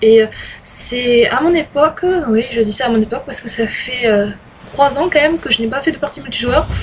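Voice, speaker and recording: Woman's high-pitched voice at a moderate pace, with noticeable background noise. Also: ordinary pitch variation. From France. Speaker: gaming video creator. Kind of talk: gameplay commentary. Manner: halting, many hesitations.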